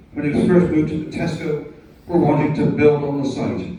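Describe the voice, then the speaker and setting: A man speaks at a moderate pace in a fairly high pitch with ordinary pitch variation. Noticeable background noise runs underneath. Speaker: livestock auctioneer. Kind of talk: retirement speech to live audience. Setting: livestock market ring.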